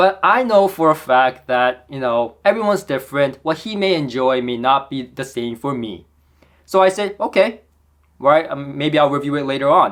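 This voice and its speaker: With a Korean accent, a man speaks at a moderate pace in an animated tone with lively intonation. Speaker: audio equipment reviewer. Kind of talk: product review.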